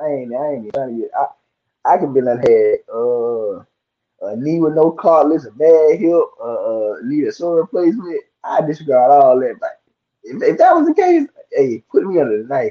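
A man speaks at a moderate pace in a Southern US accent. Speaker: podcaster and artist. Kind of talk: casual debate chat. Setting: live video call show. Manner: soft-spoken.

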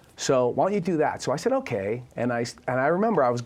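At a very fast pace, a man with a Boston accent speaks at a medium pitch with lively intonation. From Boston, US. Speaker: recovery advocate and author. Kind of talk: interview testimony.

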